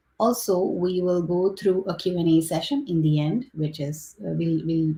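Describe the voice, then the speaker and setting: With a non-native accent, a woman talks at a moderate pace in a fairly low pitch, her tone dark and mellow, somewhat breathy, with ordinary pitch variation. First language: not English. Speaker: engineering director moderating a panel. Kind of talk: webinar panel moderation. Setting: online livestream with chat.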